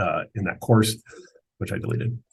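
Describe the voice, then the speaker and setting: A man talks at a very fast clip. His voice is somewhat breathy. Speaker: school software administrator. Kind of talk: screen-share tutorial. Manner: casual, halting with fillers.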